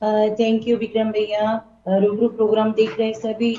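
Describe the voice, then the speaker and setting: Speaking with a Punjabi accent, a woman uses a fairly high pitch. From Punjab, India. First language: Punjabi (speaking Hindi). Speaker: singer. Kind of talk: interview. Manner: halting.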